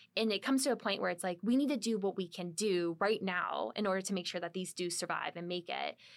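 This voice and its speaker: A woman with an American accent, medium pitch, a very fast pace and hardly any pauses. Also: ordinary pitch variation. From US Midwest, small-town Ohio. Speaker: marine biology professor. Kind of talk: interview conversation.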